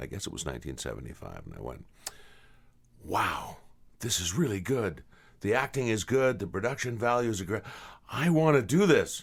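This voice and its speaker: A man's voice with vocal fry, very wide pitch swings and big swings in loudness, at a moderate pace with long, frequent pauses. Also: medium pitch for a man. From western Canada (British Columbia), born in England. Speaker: voice actor. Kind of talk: interview. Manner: halting.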